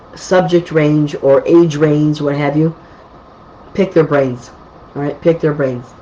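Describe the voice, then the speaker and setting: A woman's very deep, low voice moves at a moderate pace with fairly even intonation while noticeable background noise plays. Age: 60s. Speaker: psychic medium. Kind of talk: live psychic readings answering viewer comments. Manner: casual, conversational with fillers.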